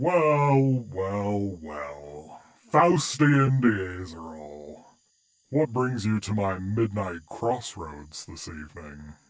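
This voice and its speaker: A put-on character voice from a man, fairly low in pitch and very slow. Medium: audio drama. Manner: smooth, playfully taunting.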